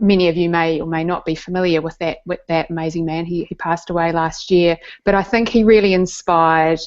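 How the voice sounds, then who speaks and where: With a New Zealand accent, a woman talks fairly quickly in a fairly low, flat, monotone voice. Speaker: neuroscientist and science communicator. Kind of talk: interview storytelling. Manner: halting, with repetitions.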